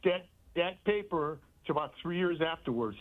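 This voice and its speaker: Over music in the background, a man with a high-pitched voice speaks at a moderate pace. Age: 70s. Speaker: caller. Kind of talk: call-in comment. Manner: halting, repeating words.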